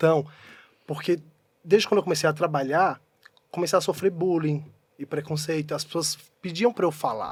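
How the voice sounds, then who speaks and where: Fairly high in pitch, a man talks at a fairly quick pace in a very clean recording with a silent background. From Pernambuco, Brazilian Northeast (interior town). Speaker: actor. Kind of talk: casual chat. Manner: animated.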